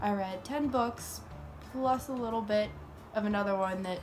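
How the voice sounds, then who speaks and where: A woman speaks at a moderate pace with a medium pitch and ordinary pitch variation. Music plays in the background. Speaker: book reviewer. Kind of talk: casual talk to camera.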